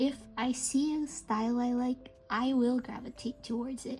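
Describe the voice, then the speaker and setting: Music plays in the background. A woman speaks at a high pitch with fairly even intonation. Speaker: amigurumi crochet pattern designer. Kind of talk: casual talk to camera. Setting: no microphone, home recording.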